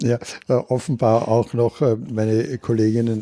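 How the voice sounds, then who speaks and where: A man talks at a fairly slow pace in a normal speaking voice. His pitch is medium and his intonation fairly even. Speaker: community radio host. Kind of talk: interview. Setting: Viennese coffee house.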